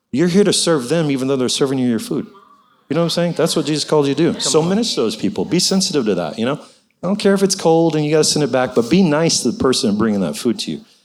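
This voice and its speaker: Talking at a very fast pace, a man with a fairly high pitch makes very wide pitch swings. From grew up overseas as a missionary kid. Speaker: church volunteer. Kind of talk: testimony.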